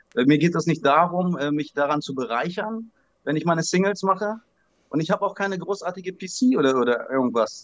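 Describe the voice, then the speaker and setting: Speaking fairly quickly, a man uses a high-pitched voice. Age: 40s. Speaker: trading card collector. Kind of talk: interview.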